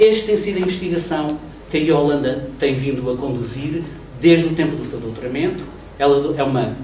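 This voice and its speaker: A man with a fairly high pitch and ordinary pitch variation talks at a moderate pace with long, frequent pauses, with audible room echo and light background noise. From Portugal. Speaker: professor introducing a speaker. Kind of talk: lecture introduction. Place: meeting room. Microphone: camera far.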